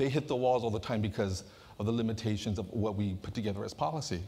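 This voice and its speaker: Talking at a fairly quick pace, a man speaks with an American accent. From Southern California, Santa Ana; California. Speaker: community advocate; panel moderator, presenter. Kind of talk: conference moderation. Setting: stage with audience. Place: hall. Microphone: lapel.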